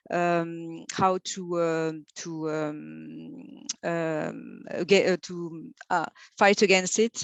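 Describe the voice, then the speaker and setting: Against a quiet background, a woman speaks with a non-native accent. Her fairly low voice keeps a fairly even intonation. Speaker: university equality staff presenter. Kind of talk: conference presentation. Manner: halting, many fillers.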